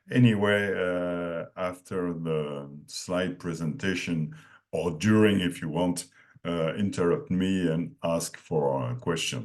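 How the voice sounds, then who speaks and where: Very deep and low, a man's voice moves with lively intonation. He speaks at a very slow pace. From France. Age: 60s. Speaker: dairy nutrition consultant. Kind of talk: lecture. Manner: halting.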